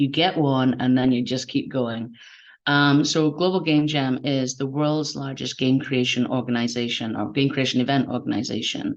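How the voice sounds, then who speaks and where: A woman with a Scottish accent, a very deep, low pitch and a moderate pace, against a quiet background. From Scotland. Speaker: game jam organizer. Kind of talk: online event interview.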